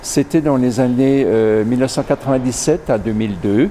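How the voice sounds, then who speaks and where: Over noticeable background noise, a man talks at a moderate pace in a medium pitch. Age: 60s. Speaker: retired farmer. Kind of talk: interview testimony.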